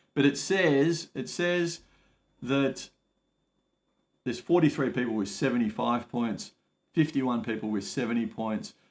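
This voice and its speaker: With an Australian accent, a man of medium pitch speaks fairly slowly with lively intonation and long, frequent pauses. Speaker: migration advice livestreamer. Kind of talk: live stream Q&A. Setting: home livestream. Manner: casual, hesitant with many fillers.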